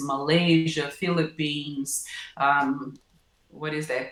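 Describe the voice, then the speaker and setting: In a Portuguese accent, a woman with a very deep, low pitch speaks at a very slow pace, with audible room echo. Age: 50s. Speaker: professor. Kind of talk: interview. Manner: halting, many fillers.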